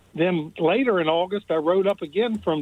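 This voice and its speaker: This man talks at a moderate pace with a high pitch. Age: 70s. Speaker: caller. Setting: phone call. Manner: sarcastic, deadpan.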